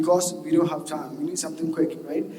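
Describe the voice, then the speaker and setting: The speech runs at a very fast pace with ordinary pitch variation. The audio has audible room echo and noticeable background noise. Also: man. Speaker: software engineer giving a conference talk. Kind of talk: conference talk. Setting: stage with audience. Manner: animated.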